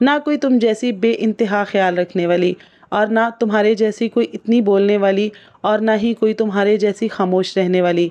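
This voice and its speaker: The voice has a dark, mellow tone, fairly even intonation and very even loudness. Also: woman, medium pitch for a woman. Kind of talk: reflective spoken monologue.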